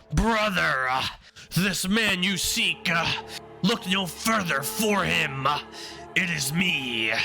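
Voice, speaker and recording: A man's put-on character voice, high in pitch and very slow, with clear music in the background. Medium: read story. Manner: hesitant with filler sounds.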